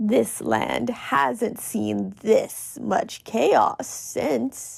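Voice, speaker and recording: In a put-on character voice, a woman speaks raspily at a very slow pace with a very deep, low pitch. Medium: read story. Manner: weary, cynical, detached.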